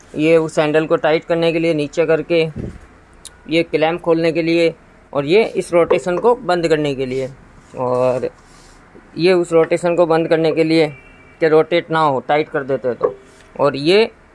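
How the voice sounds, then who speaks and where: Long, frequent pauses break up fairly slow speech that has ordinary pitch variation. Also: man. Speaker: key shop owner demonstrating machine. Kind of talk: tutorial. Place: shop. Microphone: phone near.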